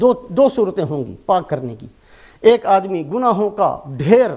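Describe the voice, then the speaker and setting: A man speaks at a high pitch. His voice moves in very wide pitch swings. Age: 50s. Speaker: Islamic preacher. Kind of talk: sermon.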